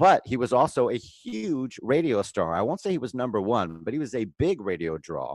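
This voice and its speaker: Over a quiet background, a man with vocal fry talks fairly quickly at a medium pitch with very wide pitch swings, in a dry, close sound with no echo. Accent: American. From Florida (Pompano, Fort Lauderdale). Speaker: entertainment writer. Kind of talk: casual chat.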